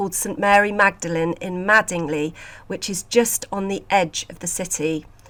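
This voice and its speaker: A woman speaks with a British accent. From UK. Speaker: podcast host and sculpture conservator. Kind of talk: casual podcast monologue.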